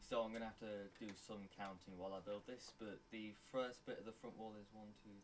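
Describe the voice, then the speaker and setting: A man with an ordinary speaking voice talks at a moderate pace, his pitch fairly low. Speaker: Minecraft tutorial creator. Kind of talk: tutorial.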